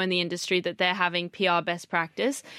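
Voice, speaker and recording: A woman speaks with an Australian accent at medium pitch in a bright, sharp tone. The recording is very clean with a silent background, dry and close with no echo. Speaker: PR professional. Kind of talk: casual chat. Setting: studio.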